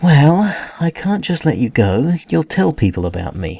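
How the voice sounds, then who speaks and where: A man puts on a character voice with a fairly high pitch, very wide pitch swings and hissing, at a moderate pace. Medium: read story. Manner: guarded, sarcastic.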